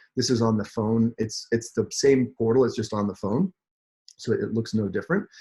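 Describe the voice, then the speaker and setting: A man's medium-pitched, dark, mellow, somewhat breathy voice with an American accent. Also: ordinary pitch variation, dry, close sound with no echo. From New Jersey. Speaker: chief product officer at a health company. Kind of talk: webinar presentation. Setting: video call. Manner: fast.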